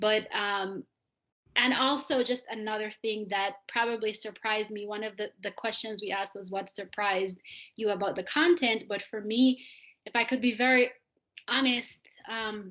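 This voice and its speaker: A woman speaks with a Jamaican accent at a moderate pace, her pitch fairly high and her intonation fairly even. The background is quiet. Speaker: audience participant, immigrant staff member. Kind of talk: panel discussion comment. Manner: halting, many fillers.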